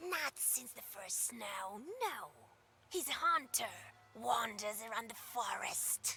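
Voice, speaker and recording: In a put-on character voice, a woman speaks at a fairly high pitch and a fairly slow pace, her pitch swinging very widely and her loudness shifting in big swings. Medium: video game. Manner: curt, mocking.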